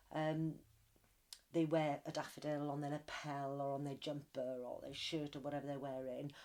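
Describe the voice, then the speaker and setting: A woman speaks in a Welsh accent at a moderate pace. Her pitch is very deep and low, her tone dark and mellow, her intonation flat and monotone. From Wales. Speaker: interviewee. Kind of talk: interview.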